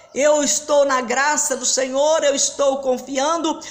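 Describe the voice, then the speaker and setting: A woman speaks at a very slow pace with a high pitch, with audible room echo. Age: 60s. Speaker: pastor. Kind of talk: sermon. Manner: halting.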